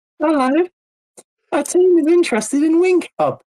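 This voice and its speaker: High-pitched put-on character voice, delivered at a moderate pace. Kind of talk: salesy, scam-pitch.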